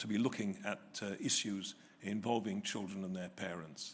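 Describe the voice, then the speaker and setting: A man speaks with an English accent. His pitch is fairly low and his pace is moderate. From England. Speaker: retired family court judge, keynote speaker. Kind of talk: keynote lecture. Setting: hotel hall with live audience. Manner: hesitant, many filler sounds.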